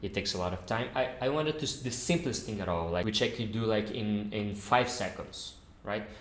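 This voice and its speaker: A man with a non-native accent speaks at medium pitch with lively intonation. Audible room echo surrounds his voice. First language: not English. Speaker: software developer YouTuber. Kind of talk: tutorial. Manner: halting.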